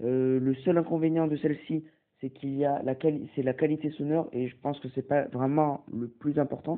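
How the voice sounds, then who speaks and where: At a moderate pace, a man talks with fairly high pitch and monotone, flat intonation. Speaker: tech tutorial youtuber. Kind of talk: tutorial. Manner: hesitant, many fillers.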